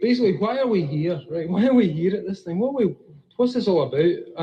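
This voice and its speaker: A man with a Scottish accent talks at a fairly quick pace with lively intonation. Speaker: comic writer giving a talk. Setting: stage, live audience. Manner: casual, blunt, profane.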